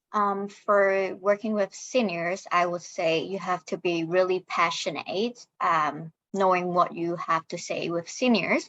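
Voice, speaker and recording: Hardly any pauses, a Chinese accent, dry and close sound with no echo. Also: woman, medium pitch for a woman, fairly even intonation, fairly slow pace. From Hong Kong. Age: 20s. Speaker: social worker. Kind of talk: panel discussion.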